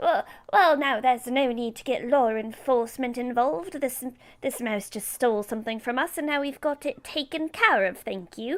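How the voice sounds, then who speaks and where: A woman in a put-on character voice at a high pitch, with big swings in loudness. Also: moderate pace. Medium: actual play. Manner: encouraging, a bit formal.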